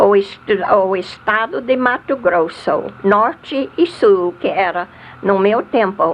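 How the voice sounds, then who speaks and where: Very slow, lively-intoned speech with an American accent, over noticeable background noise. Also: woman. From US South. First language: English (speaking Portuguese). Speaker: missionary. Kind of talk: testimony. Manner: halting.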